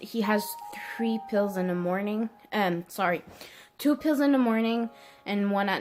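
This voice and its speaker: Over music in the background, a woman at medium pitch speaks with ordinary pitch variation and long, frequent pauses. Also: moderate pace. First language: French. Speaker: vlogger. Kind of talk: casual chat. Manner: halting, with many ums and self-corrections.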